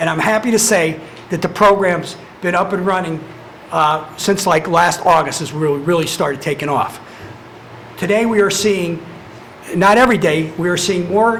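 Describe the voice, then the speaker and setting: Speech with ordinary pitch variation and long, frequent pauses, plus audible room echo and noticeable background noise. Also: man, high pitch for a man. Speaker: probation department head. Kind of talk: public meeting presentation. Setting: county commissioners meeting. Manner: fast.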